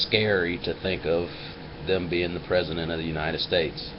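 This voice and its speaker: A man's very deep, low voice with an American accent, fairly even intonation and audible room echo. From US Midwest, Flint, Michigan. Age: 30s. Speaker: video blogger. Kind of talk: casual personal vlog monologue. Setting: webcam recording. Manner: hesitant, many fillers.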